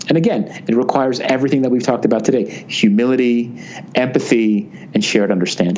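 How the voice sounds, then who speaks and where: A man with a New Jersey accent and medium pitch talks at a fairly quick pace with ordinary pitch variation, with audible room echo and noticeable background noise. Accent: American, New Jersey. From US, New Jersey. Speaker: business author and consultant. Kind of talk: interview. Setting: remote call.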